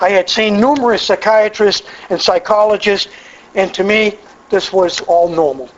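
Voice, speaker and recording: A man with an American accent, high in pitch with ordinary variation, at a moderate pace amid noticeable background noise. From Massachusetts. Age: 60s. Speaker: AA speaker. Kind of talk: recovery testimony talk. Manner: conversational with frequent stammered repetitions.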